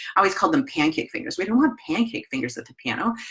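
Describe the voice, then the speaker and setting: A woman speaks with a Wisconsin accent. Her pitch rises and falls very widely. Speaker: piano teacher trainer. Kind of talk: webinar presentation. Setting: live online webinar. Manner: casual, conversational.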